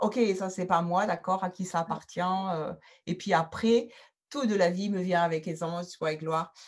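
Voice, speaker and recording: In a very clean recording with a silent background, a woman with a medium pitch speaks at a fairly slow pace. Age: 60s. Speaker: personal development facilitator. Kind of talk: interview. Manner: animated; halting.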